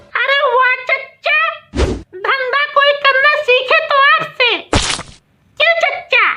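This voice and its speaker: A woman in a squeaky, cartoonish character voice with an extremely high pitch talks at a very slow pace, with long, frequent pauses. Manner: teasing, eager.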